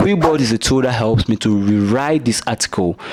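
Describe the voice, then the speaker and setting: Over noticeable background noise, a man with an American accent talks at a moderate pace and medium pitch, with ordinary pitch variation. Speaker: YouTube creator giving tutorial. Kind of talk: tutorial. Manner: casual, frequent filler 'right'.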